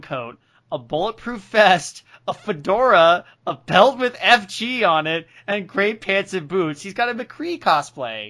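A man's bright, sharp tone with very wide pitch swings. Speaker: podcast host. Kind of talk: casual comedic chat, reading recaps. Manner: joking, laughs often.

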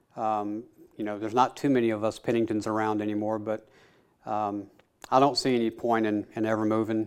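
A man's fairly low, monotone, flat voice with a Tennessee accent at a fairly quick pace, against a quiet background. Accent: US Southern (Tennessee). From Middle Tennessee. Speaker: chairmaker and woodworking teacher. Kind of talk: casual interview. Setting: woodworking shop. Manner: hesitant with many fillers.

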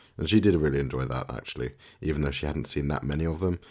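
His pitch sits very deep and low. The speaker is a man. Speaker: podcast co-host. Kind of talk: casual chat about tech and TV.

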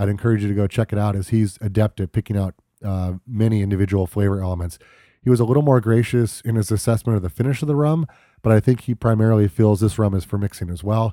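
A very fast, fairly low-pitched man's voice with a dark, mellow tone and a dry, close sound with no echo. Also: ordinary pitch variation, very clean recording, silent background. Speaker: podcast host. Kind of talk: solo podcast talk about rum and cocktails.

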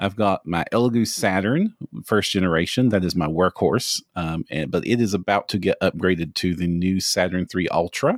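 A man's very deep, low pitch in a Kentucky accent, with hardly any pauses and a dry, close sound with no echo. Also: ordinary pitch variation, moderate pace, very clean recording, silent background. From US, Kentucky. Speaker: 3D printing hobbyist, tabletop gaming industry manager. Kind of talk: casual podcast chat.

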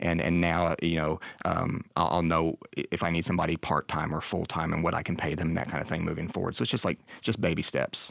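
A man with an American accent, very deep and low in pitch, monotone and flat, at a fairly quick pace with very even loudness, on a very clean recording with a silent background. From Texas. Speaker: architectural photographer. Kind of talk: casual interview.

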